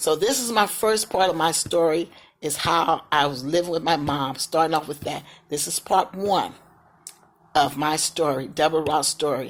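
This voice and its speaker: A woman speaks in an American accent. Her pitch is very deep and low, with ordinary variation. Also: moderate pace. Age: 60s. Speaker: vlogger sharing life story. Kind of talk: personal testimony. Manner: casual, repetitive.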